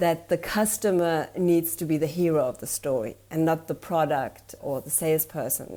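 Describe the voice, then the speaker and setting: A woman with a German accent speaks fairly slowly in a fairly low, dark and mellow voice, using ordinary pitch variation. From Germany. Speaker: storytelling consultant. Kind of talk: interview.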